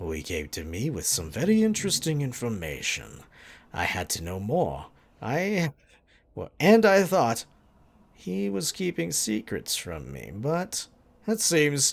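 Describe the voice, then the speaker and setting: A put-on character voice delivered at a fairly slow pace, with very wide swings in pitch. The recording is very clean, with a silent background. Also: man, medium pitch for a man. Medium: game stream. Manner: condescending, sneering.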